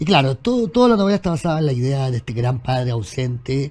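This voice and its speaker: A man talks at a moderate pace, somewhat breathy, with lively intonation. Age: 50s. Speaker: writer and journalist; guest. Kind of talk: casual chat. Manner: halting, many repetitions and fillers. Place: studio. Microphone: lapel.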